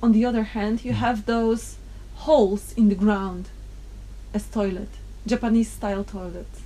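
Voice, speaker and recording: A woman with a Polish accent speaks at a moderate pace in a fairly high, somewhat breathy voice with a dark, mellow tone. Her intonation is fairly even, and she leaves long, frequent pauses. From Poland. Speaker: interviewee. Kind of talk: casual chat.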